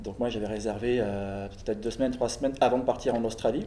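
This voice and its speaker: Heard with audible room echo, a man with a medium pitch and a dark, mellow tone keeps his intonation fairly even. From France. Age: 30s. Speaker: traveller. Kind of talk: casual chat.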